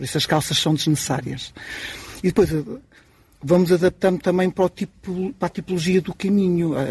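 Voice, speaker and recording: A man's high voice, fairly even in intonation, at a fairly quick pace with long, frequent pauses, in a dry, close sound with no echo. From Portugal, Marinha Grande. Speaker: experienced pilgrim. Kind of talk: live radio interview.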